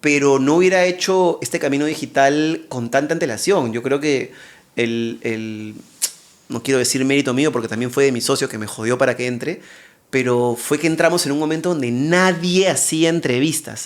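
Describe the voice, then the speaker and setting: This man uses a normal speaking voice, with ordinary pitch variation. He talks at a moderate pace, his pitch fairly high. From Peru. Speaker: TV presenter and interviewer, content creator. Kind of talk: casual interview chat.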